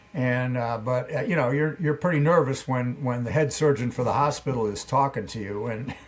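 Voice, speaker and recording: A man talks at a fairly quick pace with hardly any pauses over noticeable background noise. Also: medium pitch for a man, ordinary pitch variation. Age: 80s+. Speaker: former pro cyclist and coach. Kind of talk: interview answer.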